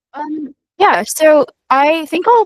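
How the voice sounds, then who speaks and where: Sound here is dry and close, free of any echo. The speaker is a woman. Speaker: student software engineer panelist. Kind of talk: panel Q&A answer. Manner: fast.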